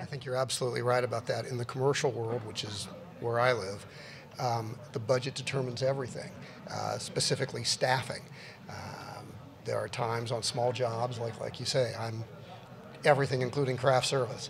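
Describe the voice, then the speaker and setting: A man talks at a fairly quick pace in a flat, monotone delivery over noticeable background noise. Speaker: commercial producer on a panel. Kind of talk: panel discussion answer. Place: stage. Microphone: handheld.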